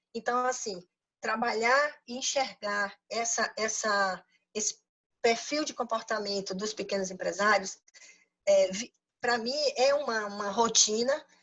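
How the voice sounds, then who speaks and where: Fairly high, fairly slow female voice with ordinary pitch variation. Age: 60s. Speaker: financial consultant and business coach. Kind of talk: lecture. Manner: halting, many repetitions.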